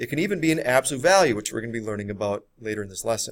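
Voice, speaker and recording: The pitch swings very widely in a very clean recording with a silent background. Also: man. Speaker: math teacher. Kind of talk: lecture. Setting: recorded video lesson. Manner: fast.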